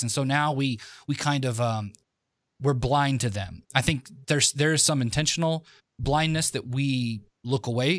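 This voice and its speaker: This man has a normal speaking voice, pitched in the medium range, with ordinary pitch variation. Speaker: podcast co-host. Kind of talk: podcast interview.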